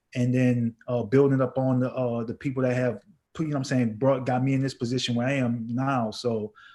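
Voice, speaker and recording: In a New Orleans accent, a man speaks at a medium pitch with a dark, mellow tone and monotone, flat intonation. The recording is very clean, with a silent background. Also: fairly quick pace. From US South, New Orleans. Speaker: entrepreneur and music producer. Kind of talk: panel discussion.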